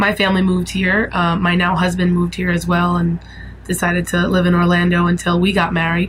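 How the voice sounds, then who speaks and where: Monotone, flat intonation marks a woman with a New York accent. Her loudness is very even, with noticeable background noise. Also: fairly low pitch for a woman, fairly quick pace. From New York City (Brooklyn, Staten Island). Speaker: musician. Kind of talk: interview testimony.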